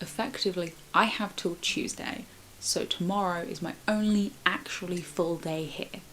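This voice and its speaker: A woman's medium pitch with ordinary pitch variation at a moderate pace, over noticeable background noise. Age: 20s. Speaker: vlogger. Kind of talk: casual vlog talk.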